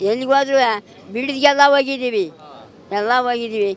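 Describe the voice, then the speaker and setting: Over noticeable background noise, a woman speaks with a high pitch and ordinary pitch variation. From Tiptur taluk, Karnataka. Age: 80s+. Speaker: farmer protester. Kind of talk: interview answer at a protest. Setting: outdoors. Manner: defiant, emotional.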